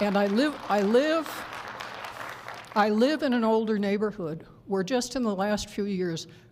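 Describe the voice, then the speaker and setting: In a very clean recording with a silent background, a woman of medium pitch talks at a moderate pace with ordinary pitch variation. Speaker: public commenter at city council. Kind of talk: public comment at council meeting. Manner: hesitant, with pauses.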